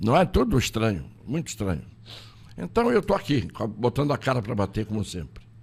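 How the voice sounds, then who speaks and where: Talking at a fairly quick pace, a man with a medium pitch and some vocal fry swings his pitch very widely. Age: 80s+. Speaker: lawyer and political candidate. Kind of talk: interview. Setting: studio.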